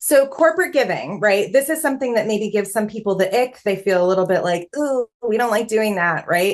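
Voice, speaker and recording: With hardly any pauses, a woman speaks at a fairly quick pace in an ordinary speaking voice, fairly high and with lively intonation. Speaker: fundraising consultant. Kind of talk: online workshop presentation.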